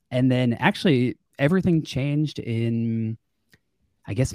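On a very clean, dry recording with a silent background and a close sound with no echo, a man with an American accent speaks at a moderate pace in a dark, mellow tone, using a medium pitch and ordinary pitch variation. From Long Island, New York. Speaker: real estate wholesaler. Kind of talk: interview. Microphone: new podcast microphone kit.

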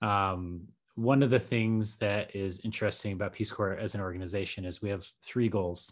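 This is an ordinary speaking voice with an American accent. The background is quiet. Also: man, fairly low pitch for a man, fairly even intonation, moderate pace. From Colorado. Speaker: podcaster and Peace Corps veteran. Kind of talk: casual chat.

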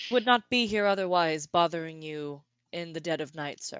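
A woman in a put-on character voice, fairly low in pitch, at a moderate pace

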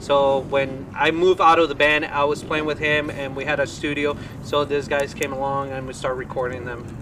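A man's fairly high, monotone, flat voice at a fairly quick pace with hardly any pauses, over noticeable background noise. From Colombia. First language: Spanish. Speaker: rock band musician. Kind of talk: casual chat.

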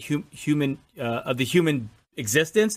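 A man speaks with a fairly high pitch and lively intonation. It is a plain, everyday voice. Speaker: podcast co-host. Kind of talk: casual chat. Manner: fast talker.

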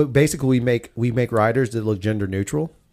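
The recording is very clean, with a silent background. The speaker talks with an Alabama accent. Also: man. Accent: Southern US (Alabama). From US South. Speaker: podcast host. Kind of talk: casual chat; sponsor read.

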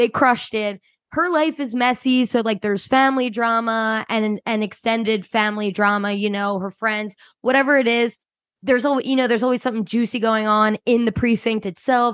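A woman with a Philadelphia accent talks at a fairly quick pace and a fairly high pitch, her intonation fairly even over a quiet background. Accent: Philadelphia-area. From US, Delaware County, Pennsylvania. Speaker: podcast co-host. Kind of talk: casual chat.

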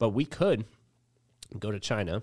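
The intonation is lively, with vocal fry and an American accent. The recording is very clean, with a silent background. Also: man. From central New Jersey. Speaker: barber and grooming business owner. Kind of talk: casual chat.

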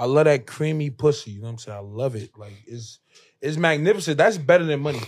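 A man with an American accent, fairly high-pitched, at a very fast pace, with lively intonation, big swings in loudness, and a very clean recording over a silent background. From New Jersey. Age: 20s. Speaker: rapper. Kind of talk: casual chat.

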